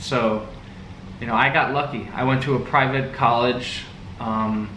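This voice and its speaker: Fairly slow speech from a man with an American accent, medium-pitched with fairly even intonation, amid noticeable background noise and audible room echo. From US, the Valley. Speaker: vlogger. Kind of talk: casual chat.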